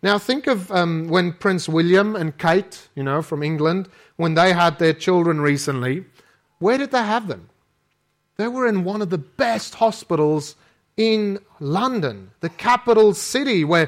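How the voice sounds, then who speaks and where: Speaking fairly slowly in a South African accent, a man uses a high pitch and lively intonation, recorded very cleanly against a silent background. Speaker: preacher. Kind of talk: sermon. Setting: church.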